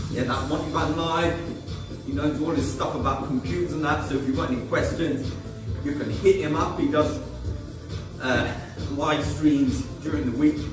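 A man talks with long, frequent pauses over clear background music, with audible room echo. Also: ordinary pitch variation, moderate pace. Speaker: fitness instructor. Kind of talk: workout instruction. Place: garage. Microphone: camera far.

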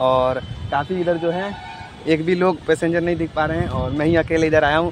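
This man's high-pitched voice moves at a moderate pace with ordinary pitch variation, the sound dry with no echo and light noise in the background. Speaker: travel vlogger. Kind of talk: casual vlog chat. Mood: cheerful. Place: station. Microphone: phone near.

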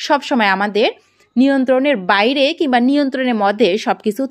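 Against a quiet background, a woman speaks at a high pitch. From Bangladesh. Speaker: duck farmer and video creator. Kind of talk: tutorial. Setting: at the farm late at night. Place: farm machine. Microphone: phone near.

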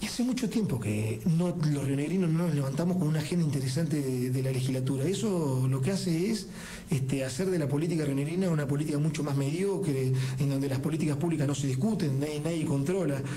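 Against light background noise, a man talks at a very fast pace with a fairly high pitch, very even loudness and ordinary pitch variation. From Buenos Aires province, Argentina. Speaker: elected provincial legislator; politician guest. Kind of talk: radio interview. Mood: critical, argumentative. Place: studio. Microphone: studio mic.

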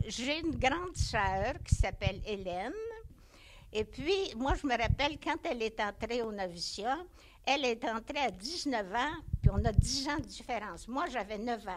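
Noticeable background noise sits under a woman's high voice, which moves at a fairly slow pace with very wide pitch swings. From Quebec, Centre-du-Québec (Bécancour); Quebec. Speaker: nun, retired teacher. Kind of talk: life story interview. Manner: halting. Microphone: handheld.

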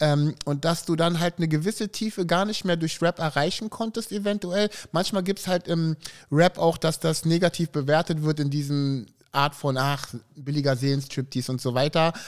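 A man speaks at a moderate pace against a quiet background. His voice is fairly high, with ordinary pitch variation. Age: 40s. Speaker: podcast host. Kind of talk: casual chat. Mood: relaxed, friendly. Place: studio. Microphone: studio mic.

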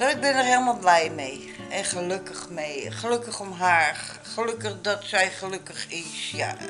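Clear music plays in the background while a woman speaks at a fairly low pitch. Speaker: vlogger. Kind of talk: casual vlog chat. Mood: warm, happy, proud. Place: kitchen.

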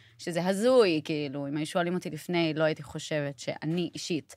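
A woman speaks at a moderate pace in a fairly low pitch with ordinary pitch variation. Hers is a plain, everyday voice, in a very clean recording with a silent background. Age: 30s. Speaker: sister of a hostage, advocate. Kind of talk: interview.

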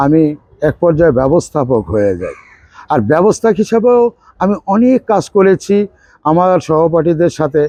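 With a dark, mellow tone and a high pitch, a man speaks in very wide pitch swings, the sound dry and close with no echo. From Bangladesh, Barisal. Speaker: film assistant director. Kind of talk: interview.

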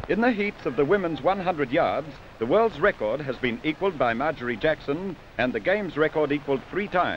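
Over noticeable background noise, a man with a fairly high voice talks at a fairly quick pace with lively intonation. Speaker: newsreel commentator. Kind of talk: 1950 newsreel sports commentary. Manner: brisk, clipped, formal announcer delivery.

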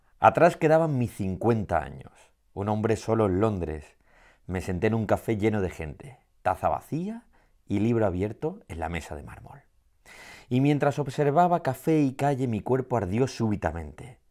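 A man at medium pitch and moderate pace, with very wide pitch swings and big swings in loudness, against a quiet background. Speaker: poet. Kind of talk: poetry reading. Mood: warm, gently smiling. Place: studio.

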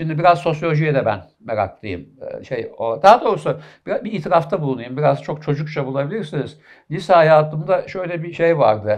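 Against a quiet background, a man with vocal fry speaks fairly quickly at a fairly high pitch. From Istanbul, Turkey (Kadıköy); Turkey. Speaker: professor of medicine; interview guest, professor. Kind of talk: interview. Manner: halting, many fillers. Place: studio. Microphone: headset.

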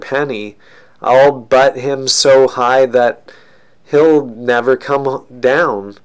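A man talks at a very slow pace. His intonation stays fairly even over a quiet background. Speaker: reader. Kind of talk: reading a story aloud. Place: home room. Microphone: webcam.

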